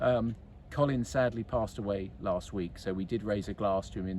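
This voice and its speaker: A man's fairly low voice with vocal fry, a dark, mellow tone, lively intonation and a moderate pace. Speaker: golf club captain. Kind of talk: casual club update. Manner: halting.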